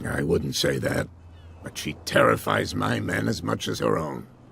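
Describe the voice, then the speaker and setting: Putting on a raspy character voice with a very deep, low pitch, a man speaks at a moderate pace with lively intonation over clear background noise. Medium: video game. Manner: serious, inquisitive.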